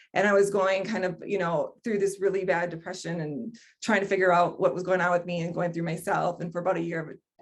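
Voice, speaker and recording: A woman at a very fast pace in monotone, flat intonation, with hardly any pauses. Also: medium pitch for a woman. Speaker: human design teacher. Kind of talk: online workshop presentation. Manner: hesitant, many fillers.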